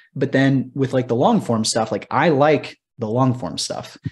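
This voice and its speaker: At a moderate pace, a man speaks with a medium pitch, ordinary pitch variation and a somewhat breathy quality. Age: 30s. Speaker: podcast host and former lawyer. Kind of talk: casual chat.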